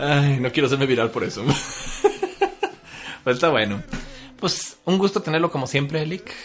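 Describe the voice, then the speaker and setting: With a Mexican accent, a man speaks in a somewhat breathy, fairly high-pitched voice with ordinary pitch variation. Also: fairly slow pace. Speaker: podcast host. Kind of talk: casual chat.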